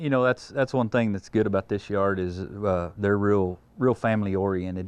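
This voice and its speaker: A man speaks with a West Texas accent and a fairly low pitch. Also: ordinary pitch variation, moderate pace. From Texas Panhandle, Wheeler. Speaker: feed yard assistant manager. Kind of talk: interview. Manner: halting.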